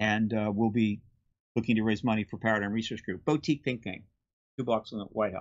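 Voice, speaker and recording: A man speaks very fast in a fairly low voice. The background is quiet. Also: fairly even intonation. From US. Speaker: disclosure activist; interview guest. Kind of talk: interview. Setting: video call. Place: home room. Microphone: video call.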